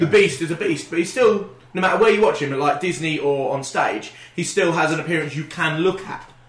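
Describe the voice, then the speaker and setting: A man with a high pitch and ordinary pitch variation talks amid audible room echo and noticeable background noise. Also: fairly quick pace. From Wales. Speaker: podcast co-host. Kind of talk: casual chat. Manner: animated.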